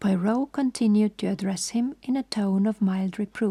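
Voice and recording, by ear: Reading aloud in a natural voice, the pitch varying in an ordinary way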